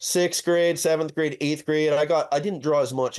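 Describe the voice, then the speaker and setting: A man with a Californian accent at a very fast pace against a quiet background. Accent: Californian American. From Southern California. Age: 30s. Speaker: custom auto shop owner and fabricator. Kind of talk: casual interview.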